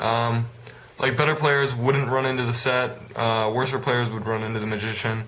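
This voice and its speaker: With noticeable background noise and audible room echo around him, a man speaks fairly quickly. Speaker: card game vlogger. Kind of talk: deck profile vlog. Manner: halting, many filler words; casual.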